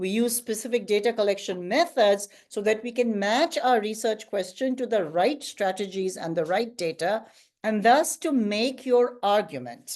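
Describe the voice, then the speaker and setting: In an unremarkable speaking voice, a woman with a fairly high pitch speaks at a moderate pace with lively intonation and hardly any pauses against a quiet background. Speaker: guest lecturer. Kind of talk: lecture.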